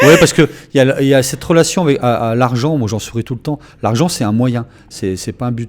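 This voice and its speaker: The voice is a normal speaking voice. Pitch rises and falls to an ordinary degree. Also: man. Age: 60s. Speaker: event association volunteer. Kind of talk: radio interview.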